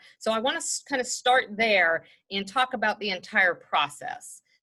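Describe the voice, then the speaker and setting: A woman with a Mississippi accent, her fairly high voice bright and sharp, with very wide pitch swings. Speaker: human resources executive. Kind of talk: presentation. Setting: video call. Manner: casual.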